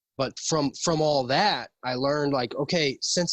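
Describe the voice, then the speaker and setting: With an American accent, a man speaks fairly slowly at a fairly high pitch with ordinary pitch variation, in a dry, close sound with no echo. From US Midwest, Saint Louis area. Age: 30s. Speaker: formerly homeless man. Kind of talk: interview. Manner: soft-spoken; halting.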